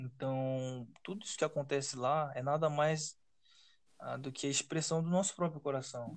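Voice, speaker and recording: With an ordinary speaking voice, the delivery stays fairly level in intonation and moves at a middling speed. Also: man, fairly high pitch for a man. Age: 20s. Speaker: podcast host. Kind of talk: casual chat.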